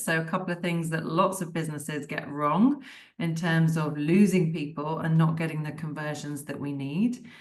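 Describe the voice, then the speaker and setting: Audible room echo surrounds a woman with a British accent who speaks at a moderate pace. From United Kingdom. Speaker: digital marketing tutor. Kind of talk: webinar lecture. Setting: video call. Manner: casual and conversational.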